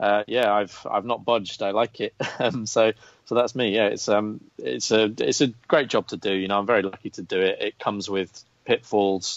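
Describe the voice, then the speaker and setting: With an English accent, a man speaks at a fairly low pitch with ordinary pitch variation. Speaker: golf betting writer. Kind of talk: podcast interview. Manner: fast.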